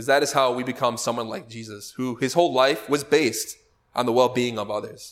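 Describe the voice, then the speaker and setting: A man speaks fairly quickly at a medium pitch with fairly even intonation and big swings in loudness. It is an unremarkable speaking voice. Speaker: lecturer on spiritual teachings. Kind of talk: lecture.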